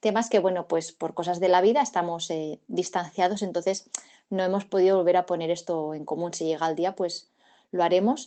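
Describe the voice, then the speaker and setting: A woman with a medium pitch talks at a moderate pace, her pitch varying in an ordinary way. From Catalonia, Spain (province of Barcelona). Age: 40s. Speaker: witness recounting UFO sighting. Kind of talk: testimony. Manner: hesitant, many fillers and repetitions.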